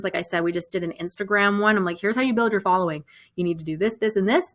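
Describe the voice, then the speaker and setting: The woman's pitch sits in the medium range, and her intonation stays fairly even. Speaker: online music business coach. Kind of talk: live webinar sales pitch. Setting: live stream. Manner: fast.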